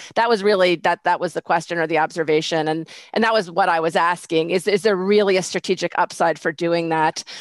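Over a quiet background, a woman with a fairly low pitch talks at a fairly quick pace with hardly any pauses, very even loudness and fairly even intonation. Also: dry sound with no echo. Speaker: judge. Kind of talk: presiding over mock hearing. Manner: hesitant, many fillers. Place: home room. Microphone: headset.

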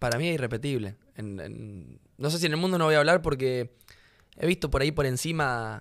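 A man talks at a fairly quick pace, with ordinary pitch variation and a quiet background. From Rosario, Argentina; Argentina. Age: 20s. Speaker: professional footballer; podcast guest. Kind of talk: casual interview conversation. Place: studio. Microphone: studio mic.

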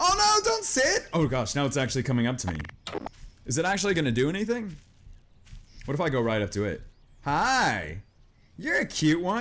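Moderate-speed speech from a man, broken by long, frequent pauses. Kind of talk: gameplay commentary.

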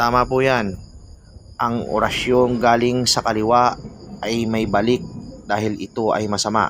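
The speech moves at a fairly slow pace with long, frequent pauses. Its intonation is monotone and flat. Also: man, medium pitch for a man. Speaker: folk magic YouTuber. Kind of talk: reading viewer comments and teaching spells.

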